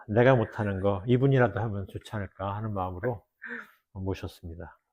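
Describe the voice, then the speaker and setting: A man speaks with fairly low pitch and fairly even intonation, somewhat breathy. His loudness swings a lot. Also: moderate pace. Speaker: theologian and former pastor. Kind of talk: casual chat.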